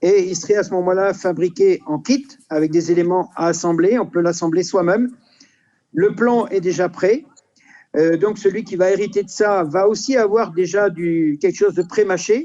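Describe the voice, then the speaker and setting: Speech comes at a medium pace. Its tone is dark and mellow, and the pitch varies normally. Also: man, high pitch for a man. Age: 60s. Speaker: inventor and business founder. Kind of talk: interview. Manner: halting.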